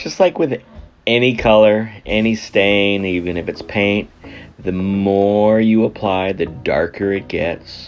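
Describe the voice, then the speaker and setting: Music plays in the background as a man speaks. His pitch is fairly low and his pace fairly slow. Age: 50s. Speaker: husband narrating wife's makeup video. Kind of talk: humorous makeup tutorial voice-over.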